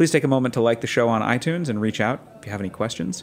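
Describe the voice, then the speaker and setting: A man talks at a very fast pace with lively intonation. He has an American accent. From New York City area. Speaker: podcast host. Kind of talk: show intro and outro; interview. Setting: studio.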